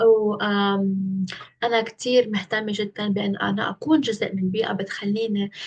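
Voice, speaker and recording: A woman with a Lebanese accent, medium pitch, ordinary pitch variation and a fairly slow pace. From Lebanon. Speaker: internship applicant. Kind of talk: video self-presentation for job interview. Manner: hesitant with fillers.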